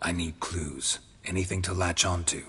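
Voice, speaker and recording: A growling, put-on character voice over clear background noise. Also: man, very deep, low pitch for a man, moderate pace. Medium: video game. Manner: terse, dry.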